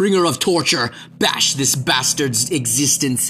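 The text is read aloud in a natural voice.

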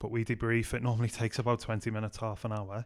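Delivered at a very fast pace in a Liverpool accent, the speech is monotone and flat, on a very clean recording with a silent background. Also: man. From Liverpool, England. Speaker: youth pastor. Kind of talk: casual chat.

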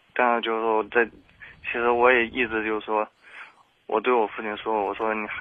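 Flat, monotone intonation at a moderate pace. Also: man, medium pitch for a man. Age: 20s. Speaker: caller to advice radio show. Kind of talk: personal story on call-in advice show. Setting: phone call. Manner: halting, many fillers.

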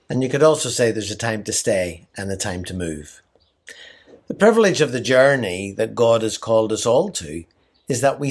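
With an Irish accent, a man talks at a medium pitch. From Ireland. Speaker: missionary leader. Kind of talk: scripted devotional message.

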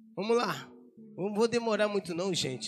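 A man speaks with ordinary pitch variation. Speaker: pastor. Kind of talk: sermon. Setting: church. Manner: animated.

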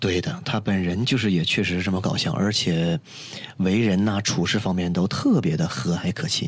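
A man speaks with a very deep, low pitch and very even loudness at a moderate pace. Noticeable background noise sits behind him. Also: ordinary pitch variation. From Northeast China. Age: young. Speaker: singer and musician. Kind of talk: casual interview.

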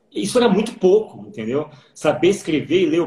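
With lively intonation and a fairly quick pace, a man talks while background noise is noticeable. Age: 40s. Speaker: education specialist. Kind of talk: casual chat.

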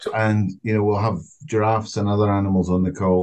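A man speaks in a Scottish accent. His pitch is fairly low and his intonation fairly even. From Scotland, Glasgow. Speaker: podcast co-host. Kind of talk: casual chat.

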